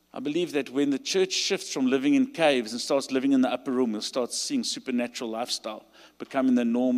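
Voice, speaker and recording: A man speaks with a South African accent. His pace is very fast. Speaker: pastor. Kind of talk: sermon. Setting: stage with audience.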